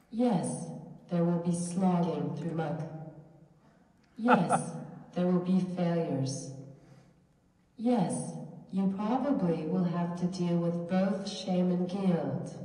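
Amid audible room echo, a woman with a fairly low pitch and ordinary pitch variation speaks at a very slow pace, pausing long and often. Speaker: minister giving a lecture. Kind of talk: lecture. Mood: earnest, encouraging. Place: church.

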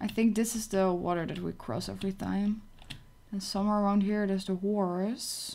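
At a moderate pace, a woman talks in a medium pitch with a dark, mellow tone over light background noise. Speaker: gaming streamer. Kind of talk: casual live gameplay stream chat. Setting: home computer livestream. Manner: chatty, excitable.

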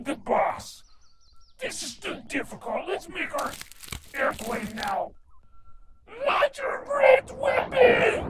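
A put-on character voice at an extremely high pitch, with very wide pitch swings and long, frequent pauses. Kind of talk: comic overacting. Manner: pompous, comic.

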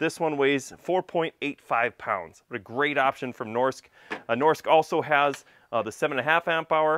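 A man talks at a moderate pace with few pauses. His medium pitch varies in an ordinary way, and his tone is fairly bright.

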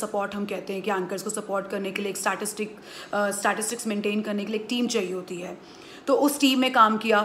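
There is light background noise as a woman speaks. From India. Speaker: sports commentator; voice-over artist. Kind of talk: interview answer. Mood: calm, reflective. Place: home room. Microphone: phone near.

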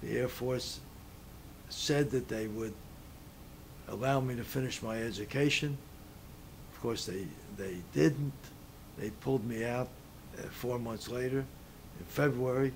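A man's somewhat breathy voice comes with long, frequent pauses and big swings in loudness. Light background noise is audible. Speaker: interviewee. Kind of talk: interview answer. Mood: calm, reflective remembering. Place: home room.

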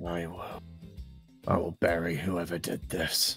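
A man speaks very slowly in a put-on character voice with a very deep, low pitch, faint music playing in the background. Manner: gruff, blustering.

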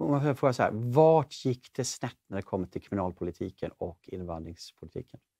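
A man speaks at a moderate pace with hardly any pauses, his dark, mellow tone moving through very wide pitch swings. The background is quiet. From Sweden. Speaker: talk show host. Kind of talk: interview conversation; show outro. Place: studio. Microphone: lapel.

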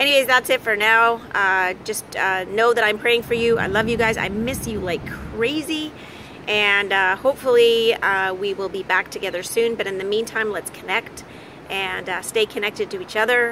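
A woman speaks at a moderate pace with ordinary pitch variation. The sound is dry with no echo, and light background noise is present. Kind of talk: casual vlog chat. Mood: warm and upbeat. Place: beach. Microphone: phone near.

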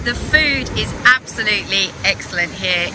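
Amid noticeable background noise, a woman speaks at a very slow pace in a dry recording with no echo. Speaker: travel guide vlogger. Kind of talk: casual vlog chat. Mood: cheerful, enthusiastic. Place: waterside. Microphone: phone near.

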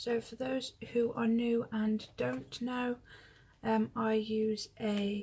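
Somewhat breathy, a woman speaks at a very slow pace over light background noise. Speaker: planner hobby vlogger. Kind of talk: casual tutorial chat. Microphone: phone near.

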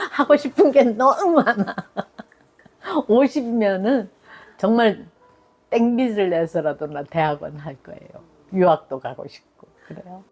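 A woman speaks very slowly at a fairly high pitch, leaving long, frequent pauses. Her pitch swings very widely, and her loudness rises and falls sharply. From South Korea, Daegu and Gyeongsan area. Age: 70s. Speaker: senior volunteer and lifelong learner. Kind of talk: life story interview.

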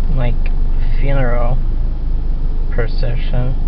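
A man talks at a fairly slow pace over noticeable background noise, the sound dry with no echo. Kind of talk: casual conversation. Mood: puzzled, mildly frustrated. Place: car. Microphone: phone near.

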